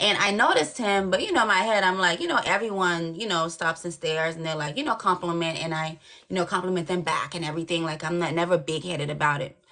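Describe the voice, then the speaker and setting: With hardly any pauses and a very fast pace, a woman talks in an animated tone and a fairly low pitch over noticeable background noise. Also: ordinary pitch variation. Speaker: dating show caller. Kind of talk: casual chat.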